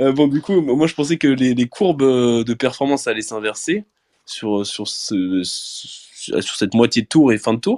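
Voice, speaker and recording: A man speaks with lively intonation in a dry, close sound with no echo, on a very clean recording with a silent background. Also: medium pitch for a man, fairly slow pace. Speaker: cycling podcast host. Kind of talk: casual chat. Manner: hesitant, many fillers and repetitions.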